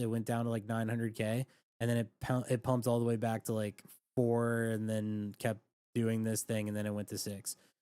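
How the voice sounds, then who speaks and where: At a fairly quick pace, a man speaks in a medium pitch with a dark, mellow tone. His intonation is monotone and flat. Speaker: crypto trading livestreamer. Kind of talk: casual livestream chat. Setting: livestream.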